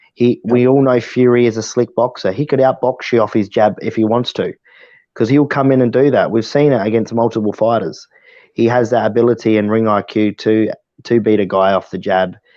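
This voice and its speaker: At a fairly quick pace, a man with an Australian accent speaks at a medium pitch and fairly even intonation. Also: very even loudness. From South Australia, Adelaide. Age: 20s. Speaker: amateur boxer. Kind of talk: casual chat.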